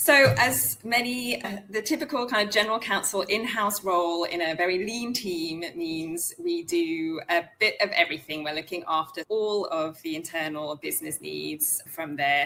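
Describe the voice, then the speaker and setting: A woman with a British accent speaks at a fairly low pitch with lively intonation and hardly any pauses. Background noise is noticeable. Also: moderate pace. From UK. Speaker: in-house lawyer. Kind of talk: interview conversation.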